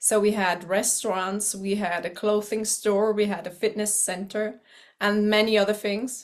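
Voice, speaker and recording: Against a quiet background, a woman speaks at a medium pitch in a flat monotone. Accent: German. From eastern Switzerland. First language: German. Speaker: teacher. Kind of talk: personal introduction to camera.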